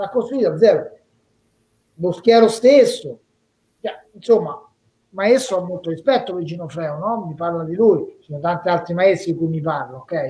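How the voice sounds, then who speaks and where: A man's high-pitched voice at a moderate pace, with big swings in loudness and long, frequent pauses. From Rome, Italy; Italy. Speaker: former professional boxer; interviewee. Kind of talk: casual interview via live stream. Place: home room. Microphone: video call.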